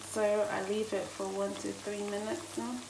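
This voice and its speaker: At a medium pitch and moderate pace, a woman talks over noticeable background noise. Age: 20s. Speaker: chef. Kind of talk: cooking tutorial talk to camera.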